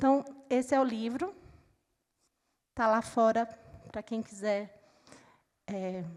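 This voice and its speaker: A woman with a Recife accent, very slow pace, and long, frequent pauses. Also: fairly high pitch for a woman, ordinary pitch variation. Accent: Recife (northeastern Brazilian). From Brazil, Recife (Pernambuco). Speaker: panel moderator, book organizer. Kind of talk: panel discussion moderation.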